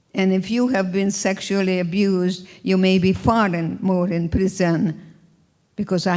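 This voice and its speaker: At a moderate pace, a woman with a Hungarian accent speaks in a monotone, flat intonation at a medium pitch. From Hungary. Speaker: Holocaust survivor and speaker. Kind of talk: inspirational talk.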